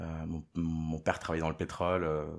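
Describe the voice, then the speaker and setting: Fairly even intonation in a man's very deep, low-pitched voice. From Venezuela, moved to France at 13. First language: Spanish (speaking French). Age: 30s. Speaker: interviewee. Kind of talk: personal testimony interview. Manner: hesitant, many fillers and repetitions.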